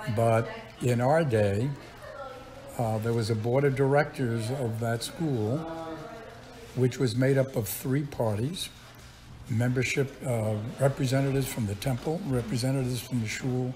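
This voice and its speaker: A man with a New York accent at a moderate pace, fairly even in intonation, with long, frequent pauses and light background noise. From Brooklyn, New York. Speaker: retired chemistry professor. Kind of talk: interview answer. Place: home room.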